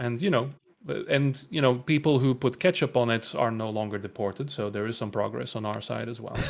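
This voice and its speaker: A man talks fairly quickly at a medium pitch. His pitch moves in an ordinary way, with noticeable noise in the background. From Belgium. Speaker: guest co-caster. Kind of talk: casual chat.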